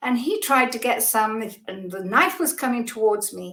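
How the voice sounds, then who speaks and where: A woman with a British accent and a fairly high pitch. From Britain. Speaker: spiritual teacher. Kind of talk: podcast interview.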